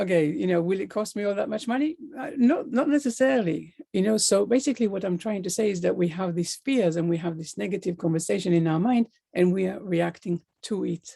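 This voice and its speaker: With a non-native accent, a woman speaks fairly quickly at a medium pitch, her tone dark and mellow and her intonation lively. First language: not English. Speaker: life coach. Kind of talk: motivational talk.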